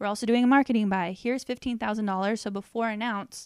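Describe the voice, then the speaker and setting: In an ordinary speaking voice, a woman with an American accent talks at a fairly high pitch and fairly even intonation, the sound dry and close with no echo on a very clean recording with a silent background. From Southern California. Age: 30s. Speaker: marketing director and graphic designer. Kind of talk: casual interview. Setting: office.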